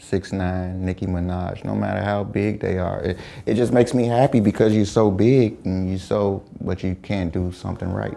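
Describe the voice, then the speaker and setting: Speaking at a moderate pace with an American accent, a man has a very deep, low pitch, a dark, mellow tone and fairly even intonation. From Chicago. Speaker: rapper. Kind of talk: interview answer. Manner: soft-spoken.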